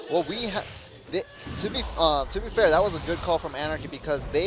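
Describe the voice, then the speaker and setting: Amid noticeable background noise, a man with a Korean accent uses a fairly high pitch and lively intonation. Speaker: esports caster. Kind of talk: live commentary.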